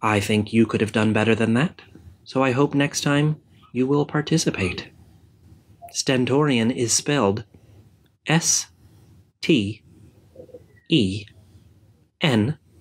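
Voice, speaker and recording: Speaking at a very slow pace with long, frequent pauses, a man holds a medium pitch, ordinary pitch variation and very even loudness. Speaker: spelling video host. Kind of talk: spelling show host announcement. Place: home room. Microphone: webcam.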